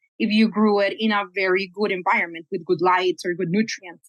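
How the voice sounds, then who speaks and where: A woman with a Spanish accent at a fairly quick pace, with ordinary pitch variation and a dry, close sound with no echo. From Colombia. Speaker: cannabis geneticist, scientist. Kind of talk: podcast interview.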